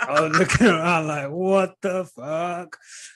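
A man talks at a very slow pace in a southern English accent. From St Albans, Hertfordshire, England. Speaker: content creator. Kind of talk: casual chat.

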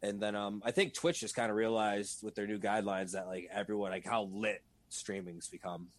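Fairly quick and fairly low-pitched, a man talks in a normal speaking voice. His intonation stays fairly even. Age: 20s. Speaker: video game streamer. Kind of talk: casual chat. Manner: fast, filler-heavy.

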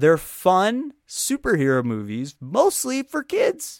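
Speaking in an animated tone, a man is heard. The recording is very clean with a silent background and a dry, close sound with no echo. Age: 20s. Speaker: podcast host. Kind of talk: solo monologue commentary. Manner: animated, frequent laughter.

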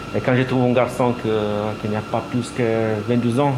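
Noticeable background noise surrounds the speaker, a man. His pitch sits in the medium range. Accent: Italian. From Italy. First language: Italian (speaking French). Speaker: laundry supervisor. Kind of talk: casual chat. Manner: halting.

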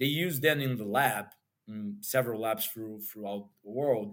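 With a Portuguese accent, a man speaks with lively intonation. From Brazil, Rio de Janeiro. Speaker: nutritionist and health coach. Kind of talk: interview. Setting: remote call.

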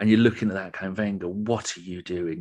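A man speaks in a fairly low, monotone voice with flat intonation. The background is quiet. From England. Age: 50s. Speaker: football fan podcaster. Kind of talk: casual chat.

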